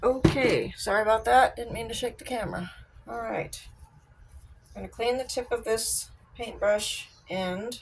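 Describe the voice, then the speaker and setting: A woman talks at a moderate pace with big swings in loudness and long, frequent pauses, over noticeable background noise. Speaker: crafter demonstrating resin art. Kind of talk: craft tutorial. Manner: casual, chatty.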